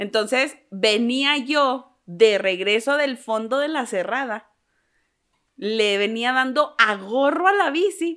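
In a Mexican accent, a high-pitched woman speaks very slowly with lively intonation and a bright, sharp tone. The recording is very clean and the background silent. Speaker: podcast co-host. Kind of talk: casual chat.

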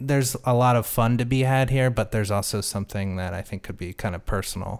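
On a very clean recording with a silent background, a man talks in a normal speaking voice at a moderate pace, with ordinary pitch variation. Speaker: film director. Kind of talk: casual interview chat.

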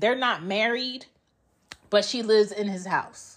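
A woman with an American accent speaks in a plain, everyday voice at a medium pitch, fairly slow in pace with fairly even intonation. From Georgia, US. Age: 30s. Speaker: podcast host, mother. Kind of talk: personal monologue. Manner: casual, conversational.

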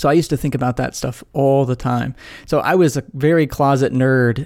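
A man speaks at a fairly quick pace in a flat monotone. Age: 30s. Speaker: podcast host and author, former pastor and philosophy professor. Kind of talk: interview conversation. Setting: video call.

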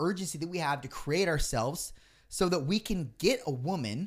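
The recording is very clean, with a silent background. A man with an unremarkable speaking voice talks at a moderate pace with lively intonation. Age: 30s. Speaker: podcast host. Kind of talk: casual chat.

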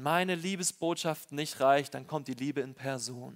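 A man with a normal speaking voice, fairly high in pitch, with ordinary pitch variation. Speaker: preacher. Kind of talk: sermon. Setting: church with congregation. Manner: warm, personal, earnest preacher's delivery; conversational, direct address to congregation.

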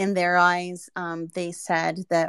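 The recording sounds dry and close, free of echo. A woman talks at a fairly low pitch. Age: 30s. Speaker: NFT project founder and artist. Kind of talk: casual interview. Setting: online audio space.

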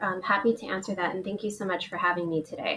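A fairly bright tone with a slightly husky edge at a fairly quick pace. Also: woman.

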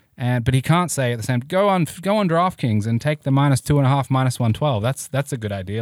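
A man with an Australian accent talks at a very fast pace. The recording is very clean, with a silent background and a dry, close sound with no echo. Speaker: sports betting lawyer and podcast host. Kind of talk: interview.

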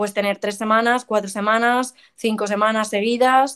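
A woman speaks in an ordinary speaking voice at a fairly high pitch, a moderate pace, and fairly even intonation, on a very clean recording with a silent background. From Madrid, Spain. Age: 20s. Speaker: professional golfer. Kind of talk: interview.

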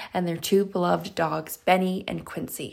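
This woman has a plain, everyday voice at medium pitch. She speaks at a moderate pace. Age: 20s. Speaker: podcast host. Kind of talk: casual interview.

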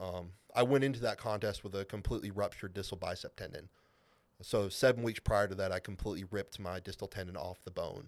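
Talking at a very fast pace, a man with a fairly low pitch shows ordinary pitch variation and big swings in loudness on a very clean recording with a silent background. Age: 20s. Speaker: strongman competitor. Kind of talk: casual chat.

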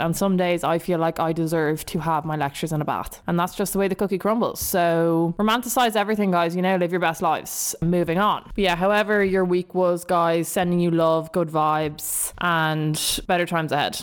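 A woman's fairly low voice in a Dublin accent, animated in tone, fairly quick, with very even loudness and hardly any pauses. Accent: South Dublin Irish. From Dublin, Ireland. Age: 20s. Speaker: podcast host. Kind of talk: casual chat, solo monologue. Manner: animated, chatty.

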